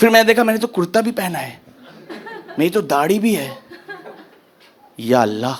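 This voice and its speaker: A man's high voice at a moderate pace, with very wide pitch swings, long and frequent pauses, and noticeable background noise. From Uttar Pradesh, India. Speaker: stand-up comedian. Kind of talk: live stand-up comedy set.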